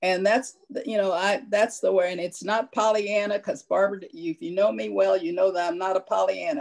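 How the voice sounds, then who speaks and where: A woman of medium pitch speaks with lively intonation and vocal fry. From US Midwest (Columbia, Missouri). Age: 70s. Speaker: local heritage committee member. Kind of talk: Q&A after a public talk. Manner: blunt, outspoken.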